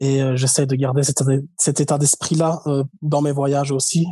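Delivered at a moderate pace with monotone, flat intonation, this somewhat breathy voice has a dark, mellow tone and a dry, close sound with no echo. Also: man. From Belgium, Liège. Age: 20s. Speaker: traveler. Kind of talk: casual interview.

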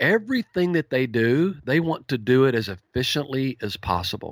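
A man with a Texan accent and a medium pitch speaks with lively intonation. The recording is very clean, with a silent background. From East Texas. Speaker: horse trainer. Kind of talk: interview. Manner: easygoing; clear.

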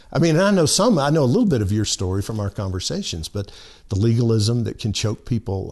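This is a man speaking. His pitch is medium, and the background is quiet. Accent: Southern US. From US South, lower Alabama (Monroeville). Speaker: pastor. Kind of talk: casual chat. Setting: studio.

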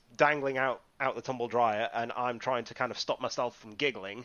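A man speaks in a North Yorkshire accent. His pitch is medium and his pace moderate. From northeast England, Whitby. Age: 30s. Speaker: wrestling referee and podcaster. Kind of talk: casual interview chat.

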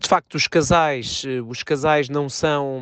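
A man speaks in a monotone, flat intonation against a quiet background, the sound dry and close with no echo. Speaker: tennis journalist and commentator. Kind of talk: interview.

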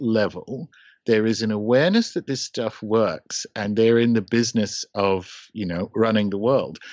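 An Australian accent marks this man's medium-pitched speech at a moderate pace. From regional Australia. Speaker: occult podcaster. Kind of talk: casual round-table discussion.

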